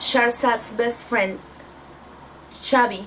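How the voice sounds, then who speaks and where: This woman speaks with a Spanish accent. Noticeable background noise runs behind her. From Mexico. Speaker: book vlogger. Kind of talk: casual book review vlog.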